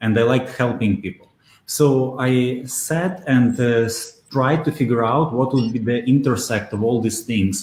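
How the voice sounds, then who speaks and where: A man speaks at a moderate pace with a Russian accent, his medium-pitched voice somewhat breathy and his pitch varying in an ordinary way. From Belarus. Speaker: SEO expert. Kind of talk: interview. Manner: hesitant, many fillers.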